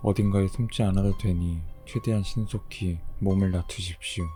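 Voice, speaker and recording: Music plays behind a man speaking at a moderate pace. His pitch is fairly low and his intonation fairly even. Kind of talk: horror story narration (rules-style creepy tale), read aloud to listeners.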